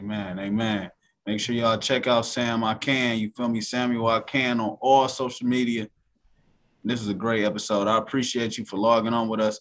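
A man speaks at a medium pitch and a fairly quick pace. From United States. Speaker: podcast host. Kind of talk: casual interview.

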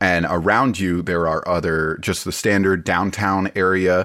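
A man's very deep, low voice comes through on a very clean recording with a silent background. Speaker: game master. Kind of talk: casual chat.

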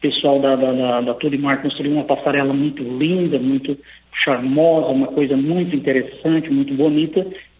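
Over noticeable background noise, a man talks in a flat monotone at a very even loudness. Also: fairly high pitch for a man, moderate pace. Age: 40s. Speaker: city council president. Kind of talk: radio interview. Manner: halting, many fillers.

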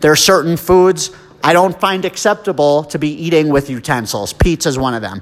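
A man with an American accent speaks at a fairly quick pace in a fairly high voice, his intonation lively over noticeable background noise. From New Jersey. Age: 30s. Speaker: podcast host. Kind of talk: casual monologue.

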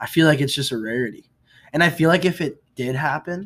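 This is a man talking. He has an American accent. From outside the US. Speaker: podcast co-host. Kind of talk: casual chat.

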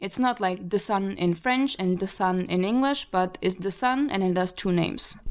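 In a Slovak accent, a woman talks at a moderate pace and medium pitch with ordinary pitch variation, very even loudness and hardly any pauses. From Slovakia. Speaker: podcast co-host and model. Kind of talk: casual chat. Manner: animated.

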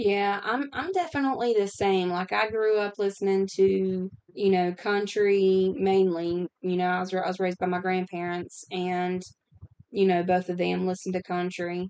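A woman with an unremarkable speaking voice talks at a medium pitch and a moderate pace, with fairly even intonation. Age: 30s. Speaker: podcast host. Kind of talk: casual chat.

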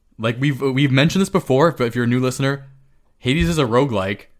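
Speaking at a very fast pace, a man with a medium pitch and ordinary pitch variation comes through in a very clean recording with a silent background. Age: 30s. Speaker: video game podcast co-host. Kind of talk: casual chat.

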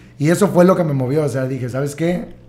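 A man talks at a fairly quick pace in a fairly high, somewhat breathy voice. His pitch varies in an ordinary way. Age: 30s. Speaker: entrepreneur. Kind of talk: casual chat. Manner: halting.

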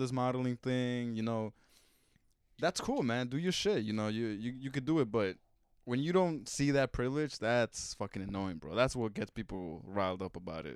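With an American accent, a man speaks at a moderate pace in a medium pitch, his intonation lively. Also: very clean recording, silent background. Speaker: podcast co-host. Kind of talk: casual chat.

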